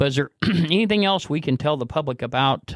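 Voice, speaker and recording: A man with a plain, everyday voice speaks at a fairly quick pace with lively intonation. The recording is very clean with a silent background and a dry, close sound with no echo. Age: 60s. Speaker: podcast host. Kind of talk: casual interview chat.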